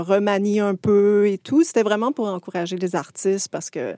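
The voice has a dark, mellow tone and a Quebec accent. The sound is dry and close, with no echo. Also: woman, very clean recording, silent background. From rural Quebec, Montérégie. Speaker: animation filmmaker. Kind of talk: casual interview.

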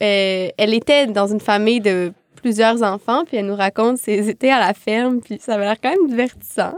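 A woman's fairly high-pitched, ordinary speaking voice at a moderate pace, with ordinary pitch variation and a dry, close sound with no echo. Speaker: filmmaker. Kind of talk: casual chat. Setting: studio.

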